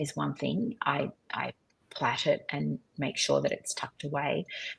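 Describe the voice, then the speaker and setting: Vocal fry runs through this woman's fairly slow delivery. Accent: Australian. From Australia. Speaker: street photographer. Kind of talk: live online talk, Q&A. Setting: live video stream.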